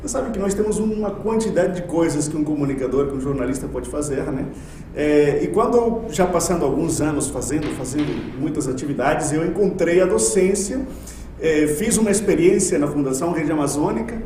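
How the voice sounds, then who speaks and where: A man with a fairly high pitch talks at a fairly quick pace with lively intonation. Audible room echo and noticeable background noise surround him. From Colombia. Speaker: university lecturer. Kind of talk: podcast interview.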